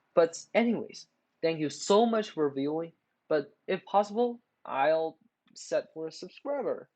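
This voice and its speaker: A non-native accent at a fairly slow pace. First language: not English. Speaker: math tutorial youtuber. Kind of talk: tutorial. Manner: halting, many filler words.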